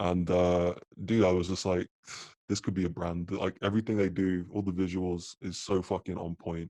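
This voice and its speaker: With a British accent and a dark, mellow tone, a man speaks at a very deep, low pitch and moderate pace in a monotone, flat way, recorded dry and close with no echo against a quiet background. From UK. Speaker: apparel company co-founder. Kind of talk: podcast interview. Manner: casual, filler-heavy.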